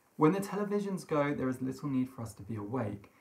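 The man's voice comes across as somewhat breathy. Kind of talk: literary reading. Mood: eerie, hushed storytelling. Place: home room.

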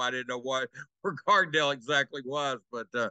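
A man talks at a very fast pace in a bright, sharp tone. The sound is dry with no echo, and the background is quiet. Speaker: remote sports analyst. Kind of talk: interview answer. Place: home room. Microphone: video call.

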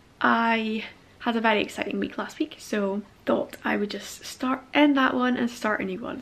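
Fairly even intonation from a woman at a moderate pace. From Scotland. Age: 20s. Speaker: vlogger. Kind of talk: casual vlog talk to camera. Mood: cheerful, relaxed. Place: home room. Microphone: phone near.

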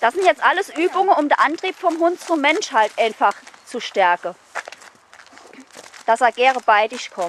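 A woman speaks with a Saarland accent, her pitch swinging very widely. The sound is dry with no echo, over light background noise. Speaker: dog trainer. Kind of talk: instructing a client during training. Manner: lively, engaged. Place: street.

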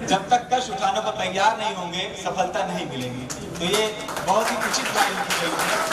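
Loud background noise accompanies speech at a fairly slow pace. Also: man. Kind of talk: motivational speech. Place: hall.

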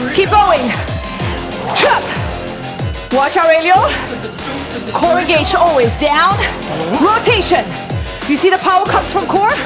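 A woman speaks at a moderate pace with ordinary pitch variation. Music plays in the background, and her pauses are long and frequent. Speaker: fitness instructor. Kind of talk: workout class instruction. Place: gym.

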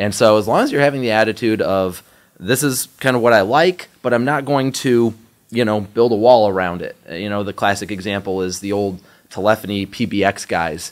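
At a moderate pace, a man with a plain, everyday voice talks at a fairly low pitch with ordinary pitch variation over a quiet background. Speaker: IT trainer. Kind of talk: interview answer. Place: meeting room. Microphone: studio mic.

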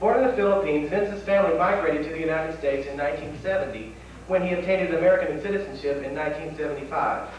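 There is strong room echo and light background noise. A man talks at a very fast pace with a high pitch and ordinary pitch variation. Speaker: event host. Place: hall.

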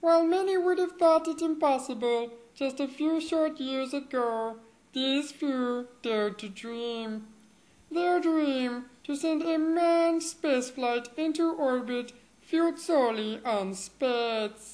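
A woman speaks at a fairly slow pace and a high pitch. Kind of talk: parody documentary narration. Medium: voice reel. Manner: grave, grandiose, deadpan.

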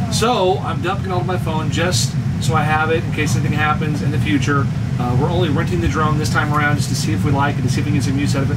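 A man at a very fast pace, ordinary pitch variation, and loud background noise throughout. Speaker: RV traveler vlogger. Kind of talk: casual vlog chat. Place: home room. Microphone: camera far.

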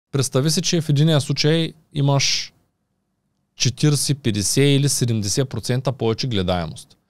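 Against a quiet background with a dry sound and no echo, a man talks at a very slow pace in a fairly high voice with ordinary pitch variation. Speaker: YouTuber and podcast host; podcast guest. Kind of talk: casual interview. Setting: studio. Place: studio. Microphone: studio mic.

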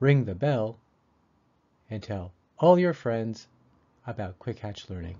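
With an American accent, a man speaks at a very slow pace and medium pitch. His voice is somewhat breathy, with lively intonation. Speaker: pronunciation teacher. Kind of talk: tutorial. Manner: clear articulation.

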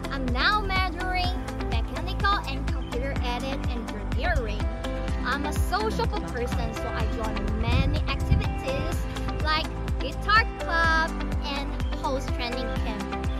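Loud music plays in the background behind a woman. She speaks at a fairly slow pace in a dry sound with no echo. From Taichung, Taiwan. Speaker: university student. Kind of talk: self-introduction talk to camera. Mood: cheerful, friendly. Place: open country.

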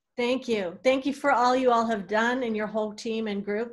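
A woman's normal speaking voice, fairly high in pitch, with ordinary pitch variation and a fairly quick pace. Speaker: event organizer and moderator. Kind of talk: virtual community event moderation. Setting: video call.

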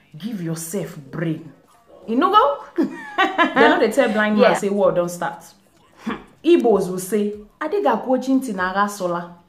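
With music in the background and audible room echo, a woman with a fairly high pitch speaks at a fairly slow pace, her pitch swinging very widely. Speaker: vlogger. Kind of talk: casual talk to camera. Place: home room. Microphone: phone near.

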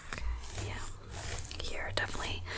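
Whispering from a woman, unhurried yet not slow. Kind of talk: soft-spoken role play. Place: home room.

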